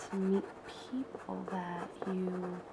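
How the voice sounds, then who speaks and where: A woman with an American accent, medium pitch and a relaxed tone, at a very slow pace amid noticeable background noise. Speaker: ASMR and travel content creator. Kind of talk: casual talk to camera, ASMR craft tutorial. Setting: home living room recording. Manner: soft-spoken, relaxed, chatty.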